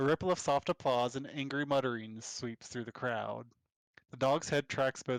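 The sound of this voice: Over a quiet background, someone reads in an unforced voice with fairly even intonation.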